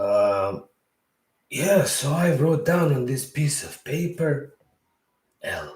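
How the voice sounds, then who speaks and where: With a Bosnian accent, a man speaks very slowly at a fairly high pitch with ordinary pitch variation. He leaves long, frequent pauses, and his loudness swings widely. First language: Serbo-Croatian. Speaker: podcast host. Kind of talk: storytelling monologue. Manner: conversational, rambling with filler words.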